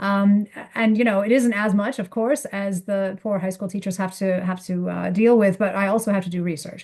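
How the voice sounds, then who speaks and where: Somewhat breathy delivery with an American accent, fairly even intonation, a moderate pace, hardly any pauses and a quiet background. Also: woman, medium pitch for a woman. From United States. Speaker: economics professor. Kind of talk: interview seminar.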